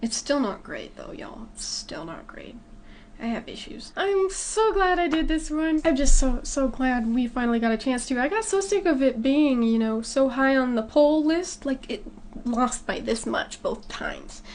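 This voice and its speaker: Amid noticeable background noise, a woman with a high pitch speaks at a moderate pace with lively intonation and big swings in loudness. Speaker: movie reaction youtuber. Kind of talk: casual vlog outro. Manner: halting with self-corrections.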